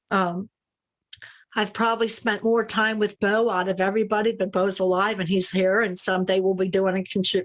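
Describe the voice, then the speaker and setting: This woman talks at a fairly quick pace in a medium pitch, her loudness very even and her intonation monotone and flat. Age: 60s. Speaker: recovering addict sharing at a meeting. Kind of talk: testimony. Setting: video call. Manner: halting.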